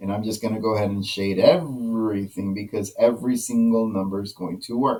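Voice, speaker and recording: A man's fairly low voice with fairly even intonation, a fairly quick pace and hardly any pauses. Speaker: math teacher. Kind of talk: tutorial. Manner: fast; casual.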